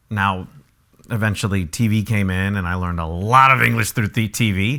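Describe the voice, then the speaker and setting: Speaking at a fairly quick pace, a man has fairly low pitch and a bright, sharp tone. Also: ordinary pitch variation. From San Ysidro, San Diego, California. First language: Spanish. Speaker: actor and social media influencer. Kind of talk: casual interview chat. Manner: halting, many repeats.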